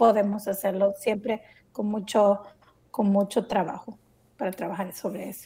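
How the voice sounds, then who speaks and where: A woman speaks at a medium pitch with a dark, mellow, somewhat breathy tone, fairly even intonation, a fairly slow pace and long, frequent pauses. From El Salvador. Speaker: podcast co-host. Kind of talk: casual chat.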